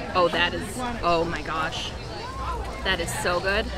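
A woman speaks with crowd noise behind her, and the sound is dry with no echo. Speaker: travel food vlogger. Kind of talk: casual vlog chat. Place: street. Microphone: phone near.

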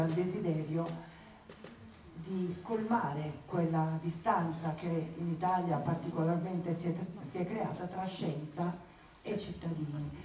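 A woman at a fairly slow pace, with light background noise and audible room echo. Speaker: event host. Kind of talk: public opening speech. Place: hall.

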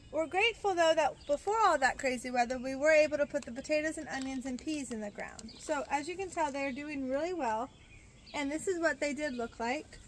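A woman's high-pitched voice at a fairly quick pace, with ordinary pitch variation, a dry sound with no echo and light background noise. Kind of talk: casual vlog chat, gardening tutorial. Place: garden.

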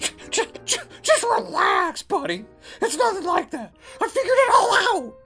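The speaker uses a cartoonish character voice with long, frequent pauses. Faint music plays in the background. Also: man, moderate pace. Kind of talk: puppet comedy sketch dialogue. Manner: impatient, brash.

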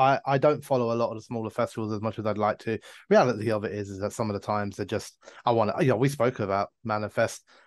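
Behind the voice, things are quiet. A man talks very fast. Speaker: podcast co-host. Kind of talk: casual podcast chat. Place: home room. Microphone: video call.

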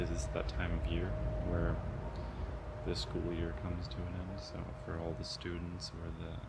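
Loud background noise fills the clip while a man speaks at a moderate pace. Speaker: student vlogger. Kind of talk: casual vlog chat. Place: garden. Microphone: phone near.

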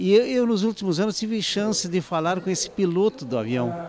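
A man's voice with lively intonation, dry and echo-free, over light background noise. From Brazil, Santa Maria area, Rio Grande do Sul; Rio Grande do Sul, Brazil. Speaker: audience member at screening; audience member. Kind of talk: interview. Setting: book fair event. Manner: halting. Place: street. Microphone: handheld.

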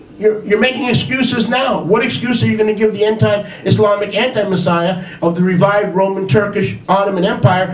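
Over light background noise and audible room echo, a man talks at a fairly quick pace in a high pitch with ordinary pitch variation. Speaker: religious teacher. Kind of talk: sermon. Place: home room.

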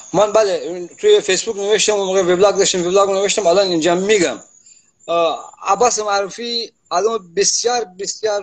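Against a quiet background, a man with a Gilan accent speaks high in a flat monotone. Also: moderate pace. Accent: Gilaki-accented Persian. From Iran, Gilan (Khomam); Gilan, Iran. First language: Gilaki (speaking Persian). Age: 80s+. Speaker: writer and translator; interviewee. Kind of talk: casual interview. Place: home room. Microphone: video call.

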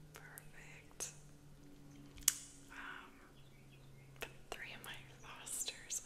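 A woman speaks at a very slow pace with long, frequent pauses. Loud background noise runs behind her. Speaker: ASMR creator and painter. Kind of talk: ASMR whispering, casual talk to camera. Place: home room. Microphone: studio mic.

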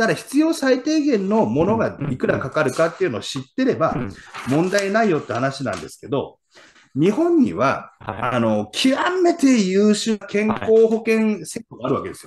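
A man talks at a moderate pace in an animated tone, his pitch swinging very widely. Light background noise sits underneath. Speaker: real estate investor and former insurance salesman; former insurance salesman. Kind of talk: casual chat. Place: home room. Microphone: video call.

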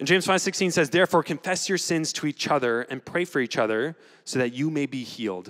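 A man with a bright, sharp tone talks at a fairly quick pace with ordinary pitch variation against a quiet background. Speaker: student pastor. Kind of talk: announcements and sermon-style address. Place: stage. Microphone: handheld.

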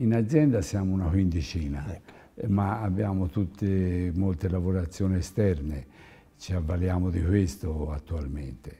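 Very deep and low in pitch, a man speaks fairly slowly in a dark, mellow, somewhat breathy tone with ordinary pitch variation. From Tuscany, province of Florence. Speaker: clothing company owner; guest. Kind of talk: TV interview. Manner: halting. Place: studio. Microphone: lapel.

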